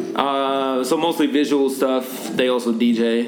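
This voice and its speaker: Fairly even intonation marks this man's speech. Noticeable background noise and audible room echo fill the recording. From Norway. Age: 20s. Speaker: rapper. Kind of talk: casual interview.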